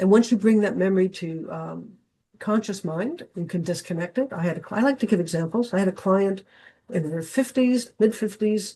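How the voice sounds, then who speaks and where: Somewhat breathy with a dark, mellow tone, a woman speaks at a medium pitch and a moderate pace with ordinary pitch variation over a quiet background. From Canada. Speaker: dowsing teacher. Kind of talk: online talk.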